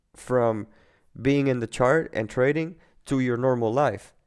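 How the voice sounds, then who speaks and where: This man has a medium pitch and a non-native accent. His pitch varies in an ordinary way. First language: not English. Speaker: trading educator. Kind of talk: live webinar talk. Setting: live online webinar. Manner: halting.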